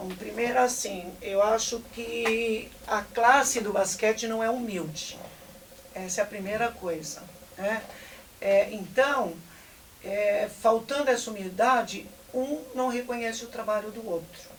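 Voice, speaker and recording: Over noticeable background noise, a woman speaks at a fairly slow pace with a fairly high pitch and ordinary pitch variation. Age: 60s. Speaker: basketball coach. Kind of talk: interview.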